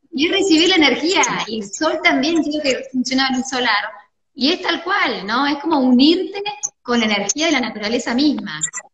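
Over noticeable background noise, a woman with a Rioplatense accent speaks at a moderate pace in a high voice with lively intonation. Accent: Argentine Spanish (rioplatense). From Argentina. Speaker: doctor and wellness course teacher, interviewer; wellness course teacher, interviewer. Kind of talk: interview. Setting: video call. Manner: animated. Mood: warm, smiling. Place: home room. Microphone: video call.

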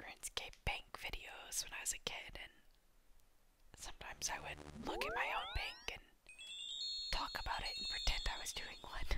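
Whispering at a moderate pace with long, frequent pauses, a woman is heard over noticeable background noise. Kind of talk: ASMR gaming commentary. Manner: whispered, soft.

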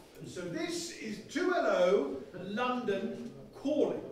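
A man talks with very wide pitch swings over light background noise, and the room echo is audible. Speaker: comic and one-man play performer. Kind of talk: comic historical one-man play, stand-up style. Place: stage. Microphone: camera far.

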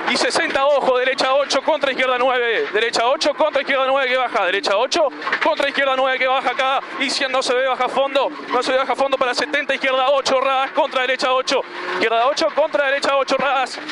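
A man speaks in a raised, projected voice with fairly even intonation. Noticeable background noise is present, and the sound is dry with no echo. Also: very even loudness. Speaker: rally co-driver. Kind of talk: rally co-driver pace notes call. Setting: in a rally car. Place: car. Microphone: headset.

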